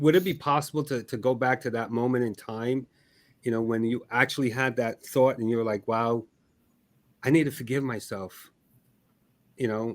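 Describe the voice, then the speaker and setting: In a very clean recording with a silent background, a man speaks with a Barbadian accent. His pitch is medium and his intonation fairly even. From Barbados. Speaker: podcast host. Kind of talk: interview. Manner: halting, repeating words.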